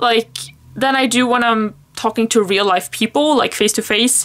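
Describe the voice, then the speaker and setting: A woman speaks with a Swedish accent. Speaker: planner vlogger. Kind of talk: casual chat. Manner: halting.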